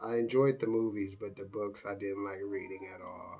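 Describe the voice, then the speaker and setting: In an American accent, a man speaks at a fairly low pitch. His intonation is monotone and flat, and his pace is moderate. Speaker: YouTuber. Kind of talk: casual Q&A vlog. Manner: casual, halting with fillers.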